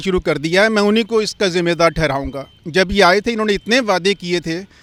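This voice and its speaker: A man's high-pitched voice at a moderate pace. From Delhi, India. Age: 60s. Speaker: member of the public interviewed on the street. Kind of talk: street interview. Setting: outdoors at a public landmark.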